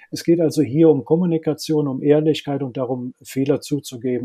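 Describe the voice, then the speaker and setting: The speaker is a man moving along fairly quickly. His tone stays fairly level throughout. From Germany, Rhineland (Linz am Rhein). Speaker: HR and strategy consultant. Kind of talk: interview. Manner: halting, many filler sounds.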